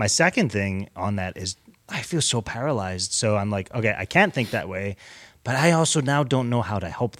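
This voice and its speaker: A man with a normal speaking voice, fairly low in pitch, with lively intonation at a fairly quick pace, on a very clean recording with a silent background. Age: 30s. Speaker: church podcast panelist. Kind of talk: casual chat.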